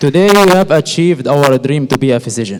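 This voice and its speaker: A man with an Arabic accent speaks at a moderate pace, his fairly high voice using lively intonation. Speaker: medical graduate. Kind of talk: graduation speech.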